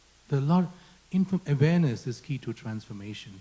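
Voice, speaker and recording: A man talks at a very fast pace with lively intonation and a fairly high pitch. His voice has a dark, mellow tone and is somewhat breathy. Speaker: panel moderator. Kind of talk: panel discussion.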